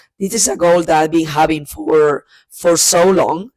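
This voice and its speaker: A woman with a Spanish accent speaks in a fairly low voice with fairly even intonation. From Spain. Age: 30s. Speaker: book vlogger. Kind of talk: casual monologue to camera. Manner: hesitant, many fillers and repeats.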